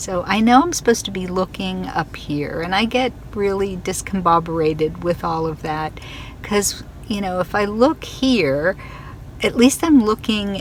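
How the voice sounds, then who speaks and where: A woman's fairly slow delivery plays out against noticeable background noise. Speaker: fiber arts maker and vlogger. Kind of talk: casual vlog. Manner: chatty, rambling.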